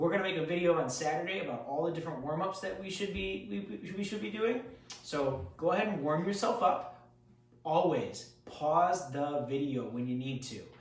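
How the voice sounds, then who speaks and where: A man speaks at a fairly high pitch with very wide pitch swings at a moderate pace. Audible room echo and noticeable background noise fill the recording. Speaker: karate instructor. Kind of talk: tutorial. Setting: home basement.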